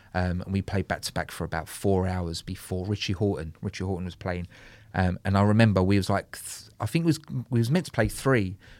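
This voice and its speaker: Recorded very cleanly against a silent background, a man with a London accent talks at a fairly quick pace in a very deep, low pitch with ordinary pitch variation. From London, Soho. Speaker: DJ and music producer. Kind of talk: casual chat.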